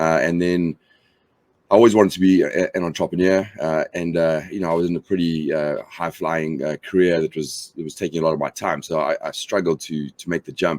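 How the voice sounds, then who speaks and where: A man with a very deep, low pitch speaks at a fairly quick pace with fairly even intonation in a South African accent. The very clean recording has a silent background and a dry, close sound with no echo. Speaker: company founder. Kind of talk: interview. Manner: halting, many fillers.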